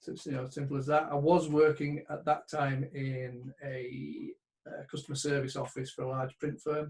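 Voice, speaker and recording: A man speaks at a fairly high pitch and a moderate pace. His voice is somewhat breathy. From northern England, Bradford. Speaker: sports betting trader. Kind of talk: interview.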